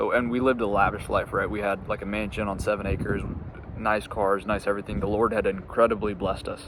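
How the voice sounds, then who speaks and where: Against noticeable background noise, a man with an American accent speaks very fast in a monotone, flat delivery at a fairly low pitch. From US Midwest, Indiana. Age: 20s. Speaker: entrepreneur, business coach. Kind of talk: casual personal story to camera, unscripted. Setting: outdoors in a park, on a bench. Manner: halting, frequent fillers and repeats.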